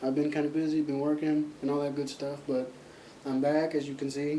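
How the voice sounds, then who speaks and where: Speaking at a fairly quick pace, a man with a fairly high pitch is recorded with noticeable background noise and audible room echo. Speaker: vlogger. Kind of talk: casual vlog monologue. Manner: speaking up loudly. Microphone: laptop mic, positioned closer to face.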